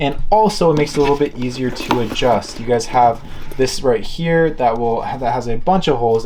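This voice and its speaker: Noticeable background noise and audible room echo surround a man speaking at a medium pitch with ordinary pitch variation. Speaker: luxury product reviewer. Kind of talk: product review. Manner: fast; casual.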